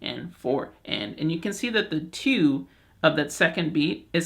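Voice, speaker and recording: Speaking at a moderate pace, a man with a fairly high pitch and vocal fry uses lively intonation. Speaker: ocarina teacher. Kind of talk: tutorial.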